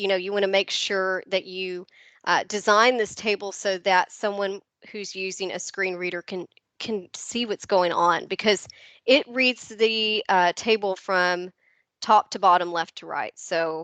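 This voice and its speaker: With a slight Southern US accent, this voice has a bright, sharp tone, fairly even intonation, a fairly slow pace and big swings in loudness, recorded with a dry, close sound with no echo against a quiet background. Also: woman, medium pitch for a woman. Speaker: educational technology trainer. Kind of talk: webinar presentation. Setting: video call. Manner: hesitant, many fillers.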